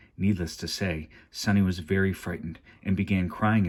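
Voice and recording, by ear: The speaker is reading aloud in a natural voice. The intonation is fairly even.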